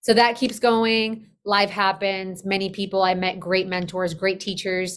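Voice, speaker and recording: In a Spanish accent, a woman speaks at a moderate pace with medium pitch and fairly even intonation. The recording is very clean, with a silent background. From Colombia, moved to US at age eight. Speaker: business operations consultant. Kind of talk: podcast interview.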